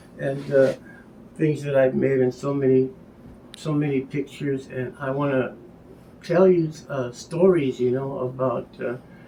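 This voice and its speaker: Pausing long and often, a man with a fairly high pitch and a dark, mellow tone speaks at a fairly slow pace with fairly even intonation. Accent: American. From Hopi, northeastern Arizona. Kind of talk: casual show-and-tell introduction. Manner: halting, many fillers.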